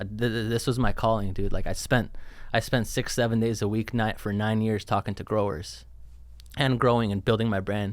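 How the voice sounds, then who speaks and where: The speaker is a man at medium pitch. He talks at a very fast pace. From Lebanon (Beirut), born in Los Angeles. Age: 30s. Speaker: cannabis company founder. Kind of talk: casual chat. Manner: animated storytelling with frequent repetitions.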